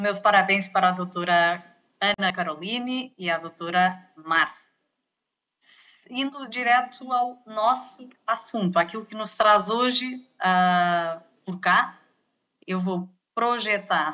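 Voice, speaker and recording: A woman with a European Portuguese accent speaks at a very slow pace with long, frequent pauses. Her tone is bright and sharp, with ordinary pitch variation. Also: medium pitch for a woman. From Portugal. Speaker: health sector negotiation expert, lecturer. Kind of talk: lecture. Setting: video call.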